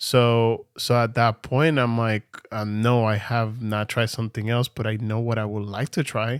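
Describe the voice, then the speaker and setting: A man with a non-native accent at a moderate pace, monotone and flat, hardly any pauses, on a very clean recording with a silent background. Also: medium pitch for a man, dry, close sound with no echo. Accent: noticeable non-native pronunciation. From Venezuela. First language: Spanish. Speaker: podcast co-host, church worship singer. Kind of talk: casual chat.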